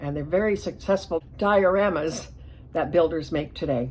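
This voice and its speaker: Vocal fry and ordinary pitch variation in a woman's speech. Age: 70s. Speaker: hobbyist diorama builder, channel owner. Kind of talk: casual vlog monologue.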